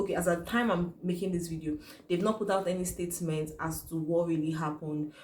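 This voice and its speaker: In a Nigerian accent, a woman with a fairly low pitch talks at a very fast pace, somewhat breathy and with fairly even intonation, amid audible room echo. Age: young. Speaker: YouTuber. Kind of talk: vlog commentary.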